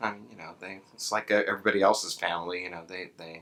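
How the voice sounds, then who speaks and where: A man's voice in an American accent comes across with a bright, sharp tone. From New York, the Bronx. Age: 60s. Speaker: comic book publisher. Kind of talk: interview. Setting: convention venue.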